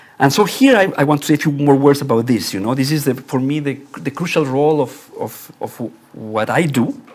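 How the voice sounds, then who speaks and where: A man's fairly high voice at a fairly quick pace. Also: ordinary pitch variation. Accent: Spanish. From Mexico. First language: Spanish. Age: 60s. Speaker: architecture professor. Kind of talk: lecture. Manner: formal; halting.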